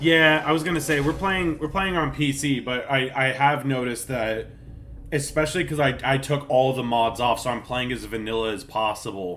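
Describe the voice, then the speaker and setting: The man's voice sits at a medium pitch. Audible room echo surrounds it. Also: ordinary pitch variation. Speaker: gaming streamer. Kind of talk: live stream chat while gaming. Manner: fast; casual, halting with fillers.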